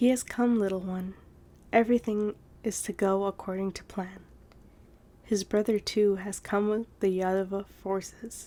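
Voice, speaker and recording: Soft-spoken at a medium pitch and moderate pace, a woman talks in a soothing, calm, dark and mellow tone with monotone, flat intonation. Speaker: ASMR storyteller. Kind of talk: read story.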